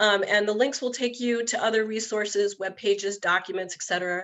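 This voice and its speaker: A woman at a fairly quick pace, medium pitch and ordinary pitch variation. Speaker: municipal league staff presenter. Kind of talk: webinar presentation. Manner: fast.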